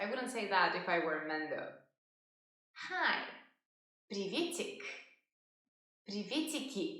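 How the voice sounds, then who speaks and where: In audible room echo, a woman with a high pitch and very wide pitch swings speaks at a fairly slow pace, leaving long, frequent pauses. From Russia. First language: Russian. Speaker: language teacher. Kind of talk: tutorial.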